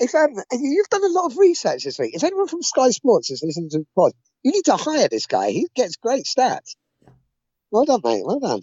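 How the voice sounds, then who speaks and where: A man speaks with an English accent. His pace is fairly quick. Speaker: rugby podcast host. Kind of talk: casual chat.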